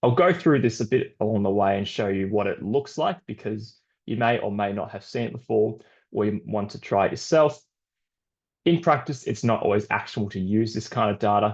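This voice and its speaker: Against a quiet background, a man with an Australian accent talks at a fairly quick pace and fairly low pitch. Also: ordinary pitch variation. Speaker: sports scientist. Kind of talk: webinar presentation.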